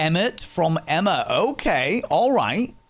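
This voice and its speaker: A man is speaking. Music plays in the background. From northern England, Hull. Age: 30s. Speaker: streamer. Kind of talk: casual chat. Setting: live stream.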